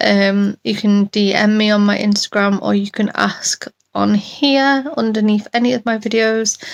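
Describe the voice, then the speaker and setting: In a British accent, a woman speaks at a fairly high pitch and fairly slow pace, with fairly even intonation, very even loudness and a dry, close sound with no echo. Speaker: chronic illness vlogger. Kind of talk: casual vlog update. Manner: hesitant, many ums.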